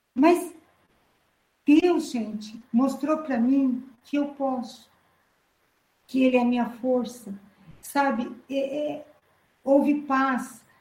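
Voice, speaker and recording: Speaking very slowly with long, frequent pauses, a woman has a high pitch and a dark, mellow tone, with audible room echo. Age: 50s. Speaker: church preacher. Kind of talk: sermon. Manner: halting.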